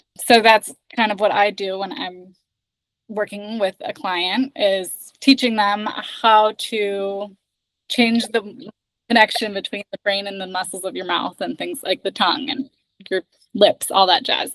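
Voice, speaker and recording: In an American accent, a woman with a normal speaking voice talks at a medium pitch and a fairly slow pace, her loudness swinging widely in a dry, close sound with no echo. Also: ordinary pitch variation. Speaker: accent trainer. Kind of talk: casual chat.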